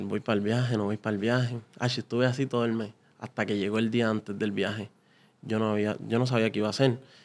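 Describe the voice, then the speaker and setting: A man at a very fast pace, monotone and flat in intonation. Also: medium pitch for a man. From Puerto Rico, Carolina; Puerto Rico. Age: 20s. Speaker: salesman; podcast guest. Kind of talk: interview; interview answer. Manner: halting. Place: studio. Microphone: studio mic.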